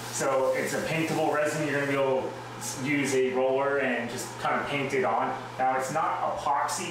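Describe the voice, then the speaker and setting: A man speaks amid noticeable background noise and strong room echo. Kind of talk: tutorial. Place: bathroom.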